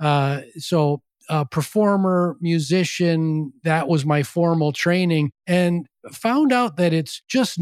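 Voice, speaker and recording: A man with an Upper Midwest accent speaks at a very slow pace in a high voice. The recording is very clean and dry, with a close sound, no echo, and a silent background. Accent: Upper Midwest American. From US Midwest, western Wisconsin (La Crosse). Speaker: former education company CEO and author. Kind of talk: interview.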